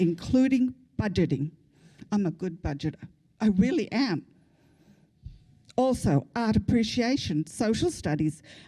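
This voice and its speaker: A somewhat breathy woman's voice, fairly high in pitch with a dark, mellow tone, very wide pitch swings, a moderate pace and long, frequent pauses. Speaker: public commenter at school board meeting. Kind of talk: public comment; prayer read aloud. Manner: quiet, hard to hear.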